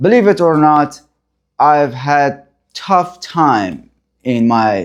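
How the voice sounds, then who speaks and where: Speaking with a non-native accent, the voice moves at a very slow pace. Its pitch swings very widely. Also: man. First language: not English. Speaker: therapist sharing recovery story. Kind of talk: personal testimony. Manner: halting.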